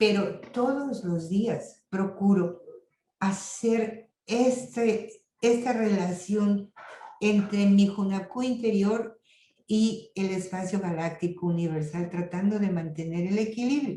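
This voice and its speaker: Very slowly, a woman speaks at a medium pitch with ordinary pitch variation, her tone dark and mellow and somewhat breathy. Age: 70s. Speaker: lecturer on intercultural health. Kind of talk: lecture.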